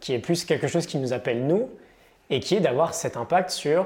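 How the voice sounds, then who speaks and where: A man's lively intonation comes with a somewhat breathy quality. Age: 30s. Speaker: entrepreneur and online content creator. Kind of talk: casual interview. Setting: coworking space.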